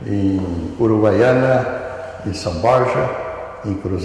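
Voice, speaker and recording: Strong room echo surrounds a man speaking very slowly at a medium pitch with ordinary pitch variation. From southern Brazil. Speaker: retired radiology professor and physician. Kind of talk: oral history interview answer. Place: hall.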